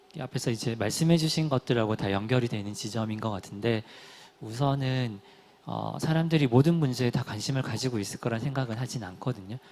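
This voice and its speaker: A man talks at a fairly quick pace in a medium-pitched voice with ordinary pitch variation. There is noticeable background noise. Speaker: nonprofit platform organizer. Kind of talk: panel discussion.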